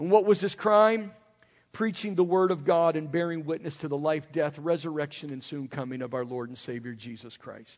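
With an American accent, a man speaks at a moderate pace in an animated tone, his fairly high voice showing lively intonation and big swings in loudness. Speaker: preacher. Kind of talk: sermon. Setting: church with congregation. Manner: animated, emphatic, urgent exhortation; repeats phrases for emphasis, rising intensity.

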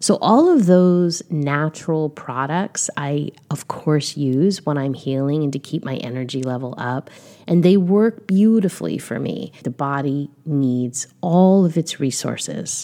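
A woman speaks in a gentle, calm tone at a fairly slow pace. Her pitch is very deep and low, with noticeable background noise behind her. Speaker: wellness podcast host. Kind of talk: solo podcast talk.

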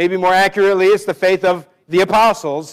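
Recorded dry and close with no echo, a man with an American accent speaks at a high pitch and a moderate pace, his intonation fairly even. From US Northwest. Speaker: pastor. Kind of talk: sermon.

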